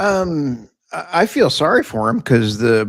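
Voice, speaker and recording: The speaker, a man, has an American accent. Nothing sounds behind him in this very clean recording. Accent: Tex Okie. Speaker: podcast co-host. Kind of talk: round table discussion.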